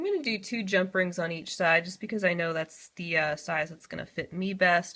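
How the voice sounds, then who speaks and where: Bright, sharp tone from a woman with a fairly low pitch, fairly quick and with hardly any pauses, ordinary pitch variation and big swings in loudness, in a very clean recording with a silent background. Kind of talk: tutorial. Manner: casual, friendly.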